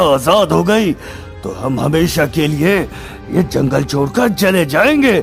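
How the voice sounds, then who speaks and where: Clear music plays in the background. A man uses a cartoonish character voice at a fairly slow pace. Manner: sly, theatrical.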